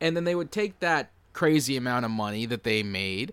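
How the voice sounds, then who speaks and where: Using a normal speaking voice, a man talks at medium pitch with ordinary pitch variation. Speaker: podcast co-host. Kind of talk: casual chat.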